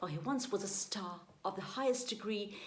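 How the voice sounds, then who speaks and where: A woman is speaking at medium pitch. Her pace is moderate. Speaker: amateur poetry reader. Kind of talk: poetry reading.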